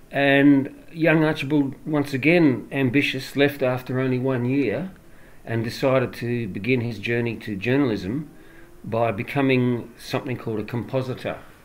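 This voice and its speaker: Ordinary pitch variation marks the speech of a man with an Australian accent. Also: medium pitch for a man, moderate pace. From Australia, Adelaide. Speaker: author and former English teacher. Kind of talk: interview. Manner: halting.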